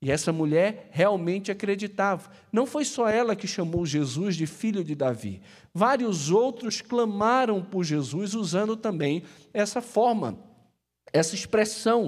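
With a Brazilian accent, a man talks at a fairly slow pace in a high pitch, using lively intonation and an animated tone, heard in a very clean recording over a silent background. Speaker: pastor. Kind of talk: sermon, preacher in full flow, passionate and urgent. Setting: church service. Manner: animated, emphatic, rhetorical repetition; colloquial and direct, addressing the congregation.

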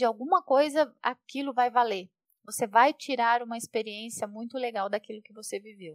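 This woman has a plain, everyday voice, fairly high in pitch with ordinary pitch variation, speaking at a moderate pace with big swings in loudness in a dry, close sound with no echo. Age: 40s. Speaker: project manager at a tech company. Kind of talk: podcast interview.

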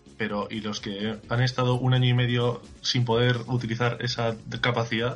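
Over noticeable background noise, a man with a medium-pitched voice talks at a moderate pace in a monotone, flat intonation. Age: 20s. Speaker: podcast listener guest. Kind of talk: casual chat.

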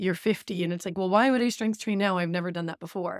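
Recorded very cleanly against a silent background, a woman uses an ordinary speaking voice at a medium pitch with fairly even intonation. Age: 30s. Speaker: running podcast co-host, coach. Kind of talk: casual chat.

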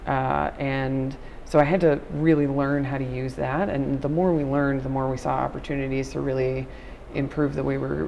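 Someone with an American accent is heard through audible room echo and noticeable background noise. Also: woman. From New York, Long Island (Nassau County). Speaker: nonprofit technology analyst. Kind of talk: casual interview. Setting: hallway at a conference.

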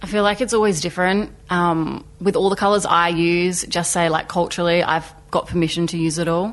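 Fairly quick and with hardly any pauses, a woman with an Australian accent talks at a fairly low pitch with fairly even intonation. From South Australia, Port Augusta. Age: 20s. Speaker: artist. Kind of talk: interview. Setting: studio.

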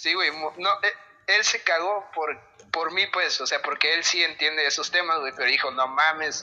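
A man with a high-pitched voice talks at a fairly slow pace with ordinary pitch variation. Noticeable background noise runs under his speech. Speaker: guitarist. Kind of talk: casual chat.

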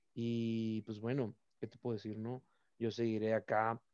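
A man's dark, mellow voice sits at a medium pitch and moves at a very slow pace, recorded with a dry, close sound and no echo. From Mexico, Baja California (Mexicali). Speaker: olympic archer. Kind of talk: interview.

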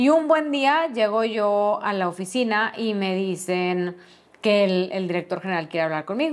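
A woman speaks with a Mexican accent. Her pitch is fairly high. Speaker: podcast host, HR specialist. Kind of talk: personal storytelling monologue.

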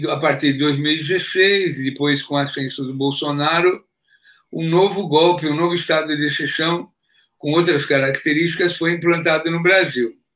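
Fairly high in pitch, a man speaks with a bright, sharp tone. His intonation stays fairly even. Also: moderate pace. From Brazil, São Paulo city. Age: 70s. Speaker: former politician and geologist. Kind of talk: interview.

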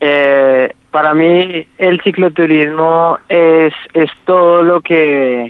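A man's fairly high-pitched voice in a flat monotone. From Colombia, Ibagué (Tolima). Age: 20s. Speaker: cycle tourist. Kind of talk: interview. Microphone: connection dropping out.

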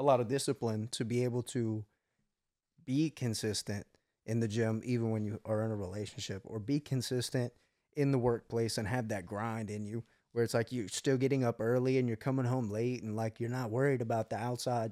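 A man's medium-pitched, dark, mellow voice at a fairly quick pace, fairly even in intonation, dry and close with no echo, on a very clean recording with a silent background. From US South. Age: 20s. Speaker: podcast host, business owner. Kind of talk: casual chat.

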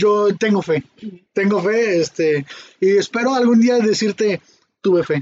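A speaker with a Mexican accent talks at a fairly slow pace. Pitch varies in an ordinary way while loudness swings widely. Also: man, high pitch for a man. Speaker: podcast host. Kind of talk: casual chat.

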